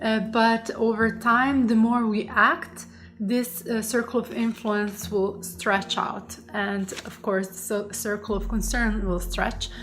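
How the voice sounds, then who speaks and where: A woman's fairly high voice with a non-native accent, at a very slow pace with hardly any pauses, fairly even intonation and big swings in loudness, over noticeable background noise. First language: not English. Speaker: coach and psychologist. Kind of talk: online course lesson. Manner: halting, many fillers.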